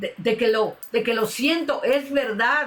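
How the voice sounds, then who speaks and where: A woman's high voice with ordinary pitch variation, at a fairly slow pace, over noticeable background noise. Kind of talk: sermon. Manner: emotional, impassioned.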